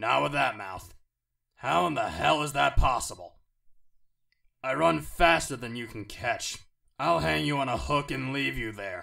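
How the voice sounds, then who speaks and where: A man's raspy, put-on character voice at medium pitch, moderate pace, with long, frequent pauses, on a very clean recording with a silent background. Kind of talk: video game character voice.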